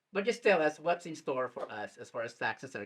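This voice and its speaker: A man uses an ordinary speaking voice with a fairly high pitch. He keeps a moderate pace. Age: 60s. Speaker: community talk show host. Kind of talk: interview. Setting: studio.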